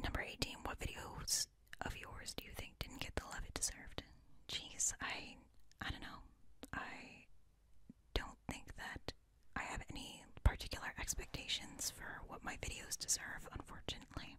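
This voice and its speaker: Soft-spoken and whispering, a woman talks at a moderate pace in a dry, echo-free recording with light background noise. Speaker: ASMR creator. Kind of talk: casual Q&A chat, soft-spoken. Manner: soft close-mic whisper. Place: home room.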